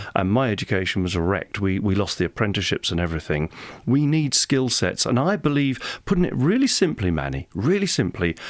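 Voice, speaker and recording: Very wide pitch swings mark this man's fairly low voice as he talks at a fairly quick pace on a very clean recording with a silent background. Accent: English. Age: 60s. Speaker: parliamentary candidate. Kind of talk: radio interview. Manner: animated.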